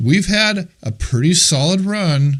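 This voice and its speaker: With very wide pitch swings, a man talks in a somewhat breathy voice. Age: 60s. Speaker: real estate trainer. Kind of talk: masterclass talk to a group. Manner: casual and conversational.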